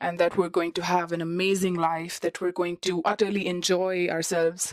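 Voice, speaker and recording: A woman with a non-native accent and a fairly low voice speaks at a moderate pace. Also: dry, close sound with no echo. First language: not English. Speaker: international student vlogger. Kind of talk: podcast monologue.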